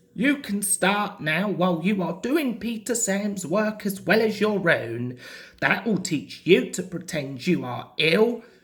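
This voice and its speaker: Put-on character voice at a middle pitch and a fairly slow pace. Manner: stern.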